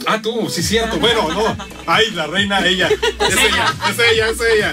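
Clear music plays in the background as the speaker uses a raised, projected voice in an upbeat, playful tone. The pace is fairly slow, with ordinary pitch variation. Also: man, high pitch for a man. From Mexico. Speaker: radio host. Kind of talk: casual radio promo chat with guests. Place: studio. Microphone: phone near.

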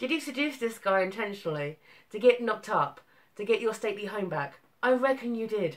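A woman speaks with very wide pitch swings. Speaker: book reviewer vlogger. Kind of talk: casual vlog chat. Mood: mocking, amused. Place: home room. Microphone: webcam.

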